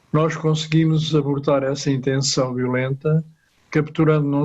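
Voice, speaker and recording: A man talks at a moderate pace in a fairly high voice. His intonation is monotone and flat. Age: 80s+. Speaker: retired police officer, audience participant. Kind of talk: prepared audience comment.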